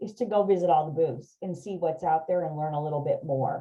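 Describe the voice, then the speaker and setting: She is a woman speaking. Her tone is animated. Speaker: district conference organizer. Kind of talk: presentation to a meeting. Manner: fast.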